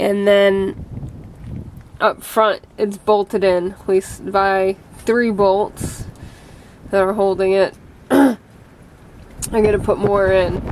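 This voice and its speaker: Over light background noise, a woman speaks at a very slow pace in a monotone, flat intonation with long, frequent pauses. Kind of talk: casual repair narration. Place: street. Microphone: phone near.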